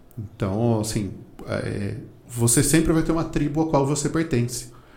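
A man's somewhat breathy voice comes through with audible room echo. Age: 40s. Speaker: marketing author and teacher. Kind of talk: casual interview.

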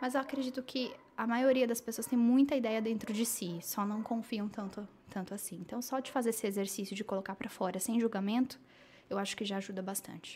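A woman speaks at a fairly quick pace in a somewhat breathy, fairly high voice. Her pitch variation is ordinary. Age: 30s. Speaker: social media strategist and digital influencer. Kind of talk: casual interview.

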